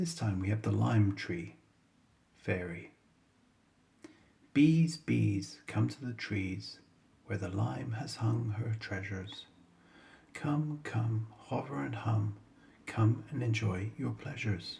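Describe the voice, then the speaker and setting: A man at a very slow pace, fairly low-pitched and somewhat breathy, with lively intonation, long, frequent pauses and a dark, mellow tone. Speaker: bedtime story reader. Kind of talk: bedtime poetry reading. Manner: smooth, soothing; calm.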